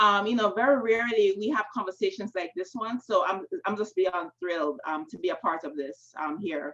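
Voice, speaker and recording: Speaking at a fairly quick pace, a woman of medium pitch uses lively intonation in a strong Jamaican accent. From Jamaica, Kingston. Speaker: novelist. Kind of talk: panel discussion. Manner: casual, many fillers.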